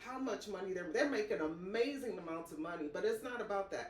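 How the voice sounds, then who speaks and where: The voice swings very widely in pitch, with audible room echo around it. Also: woman. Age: 60s. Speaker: podcast interviewer. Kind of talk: interview.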